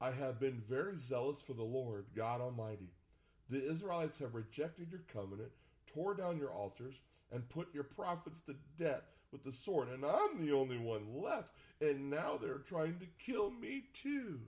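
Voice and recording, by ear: At a moderate pace, a man puts on a whiny character voice with a fairly high pitch and lively intonation.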